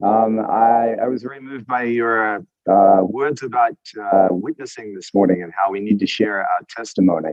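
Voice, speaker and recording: With an Australian accent and a fairly low pitch, a man speaks at a moderate pace, his loudness swinging widely. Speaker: church member sharing testimony. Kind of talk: testimony. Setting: video call, outdoors on a walk.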